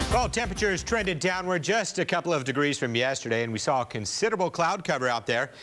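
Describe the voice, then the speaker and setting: With music in the background, a man talks at a very fast pace and a fairly high pitch, with hardly any pauses and very even loudness. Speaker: television chief meteorologist. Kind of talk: TV weather forecast broadcast.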